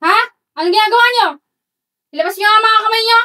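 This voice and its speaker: A woman's put-on character voice, extremely high in pitch, at a very fast pace. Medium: stage play. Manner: scolding, mocking.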